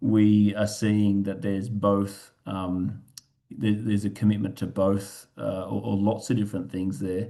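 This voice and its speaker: Speaking at a moderate pace, a man with an Australian accent has a fairly low pitch and a dark, mellow tone. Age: 40s. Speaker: parenting group founder. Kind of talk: webinar presentation. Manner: halting, many fillers.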